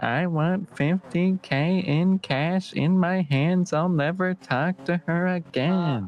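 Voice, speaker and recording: Putting on a character voice, a man speaks high in pitch at a very slow pace with hardly any pauses, fairly even intonation and very even loudness, the sound dry and close with no echo. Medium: game stream. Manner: earnest, effusive.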